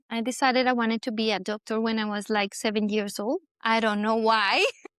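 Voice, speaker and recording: A woman with a Spanish accent talks at a fairly quick pace in a fairly high pitch, on a very clean recording with a silent background. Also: fairly even intonation. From Colombia, Bogota. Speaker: doctor. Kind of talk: casual interview.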